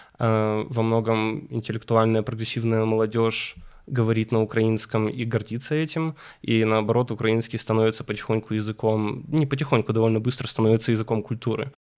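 A man with a plain, everyday voice speaks at medium pitch and a fairly quick pace, with very even loudness and fairly even intonation, on a very clean recording with a silent background. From Ukraine, Kyiv. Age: 20s. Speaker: young professional guest. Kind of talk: podcast interview.

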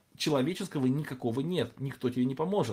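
A man's fairly high voice, somewhat breathy, with ordinary pitch variation, on a very clean recording against a silent background. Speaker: Bible teacher. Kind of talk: lecture. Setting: livestream. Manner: halting.

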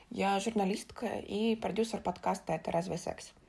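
Speaking at a moderate pace, a woman sounds somewhat breathy on a very clean recording with a silent background. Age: 20s. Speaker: journalist and podcast producer. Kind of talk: recorded personal story.

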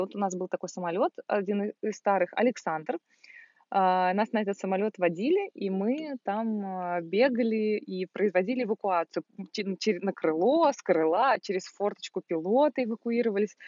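An ordinary speaking voice with lively intonation. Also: woman, medium pitch for a woman, moderate pace. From Russia, Volgograd. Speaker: service manager, former flight attendant. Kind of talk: casual chat. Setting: at a country house outdoors in summer.

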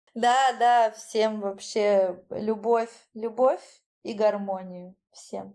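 A woman's fairly high-pitched, dark, mellow voice at a very slow pace with fairly even intonation. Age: 30s. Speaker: beautician and dance teacher, course founder. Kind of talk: casual interview.

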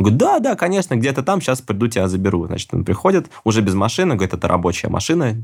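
Very fast pace with ordinary pitch variation. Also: man. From Russia. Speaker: musician and traveler. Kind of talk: casual interview storytelling. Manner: animated.

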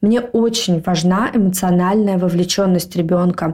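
Using a plain, everyday voice, a woman speaks at a fairly slow pace with fairly even intonation. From Moscow, Russia. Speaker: podcast co-host. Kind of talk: casual chat.

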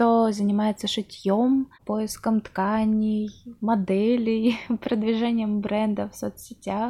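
Somewhat breathy and dark, mellow in tone, a woman with a fairly high pitch speaks at a very slow pace in a monotone, flat intonation. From Russia, Chelyabinsk. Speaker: podcast host. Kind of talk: interview.

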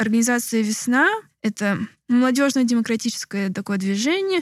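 Recorded very cleanly over a silent background, the speech keeps a moderate pace with ordinary pitch variation. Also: woman. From Moscow, Russia. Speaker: political activist. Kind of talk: interview. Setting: rented apartment, non-studio.

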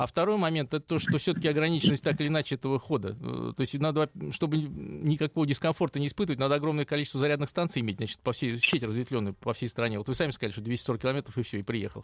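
A man talks very fast with vocal fry. The recording is very clean and dry, close with no echo, over a silent background. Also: fairly high pitch for a man, ordinary pitch variation. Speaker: automotive history expert. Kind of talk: interview.

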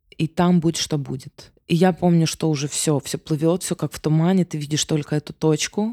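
In a very clean recording with a silent background, a woman with a very deep, low pitch and a dark, mellow tone speaks at a moderate pace with hardly any pauses, the sound dry and close with no echo. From Ukraine. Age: 30s. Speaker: singer. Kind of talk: casual chat. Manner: animated.

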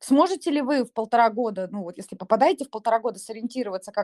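A woman's fairly high voice at a fairly quick pace, ordinary pitch variation, dry, close sound with no echo, and a very clean recording with a silent background. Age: 30s. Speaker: psychotherapist. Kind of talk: expert Q&A in live audio chat.

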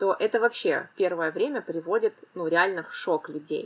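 A woman talks at a fairly slow pace in a plain, everyday voice, with ordinary pitch variation. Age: 30s. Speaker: financial literacy expert, podcast co-host. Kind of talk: casual chat.

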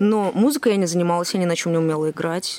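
A woman's unremarkable speaking voice at medium pitch, fairly quick in pace, in a dry, close sound with no echo. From Moscow, Russia. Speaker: singer-songwriter and restaurant manager. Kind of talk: casual interview.

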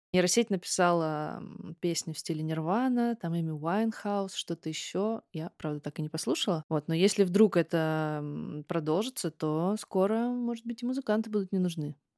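A woman's fairly low, dark and mellow voice at a moderate pace with ordinary pitch variation, dry and close with no echo, in a very clean recording with a silent background. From Russia, Kogalym (Western Siberia). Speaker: singer-songwriter. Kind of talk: interview. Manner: casual.

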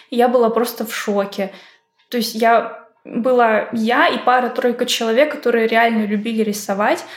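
A woman's fairly high voice with fairly even intonation, in audible room echo. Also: moderate pace. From Russia, Izhevsk. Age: 20s. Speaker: 2D artist. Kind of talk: casual chat.

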